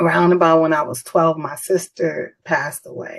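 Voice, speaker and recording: A woman with an American accent, at a moderate pace, in a monotone, flat intonation. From New York City, the Bronx. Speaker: author. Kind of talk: interview.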